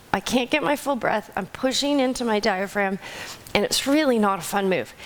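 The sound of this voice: A woman puts on a raspy, fairly high-pitched character voice with lively intonation and very even loudness, speaking at a moderate pace over light background noise.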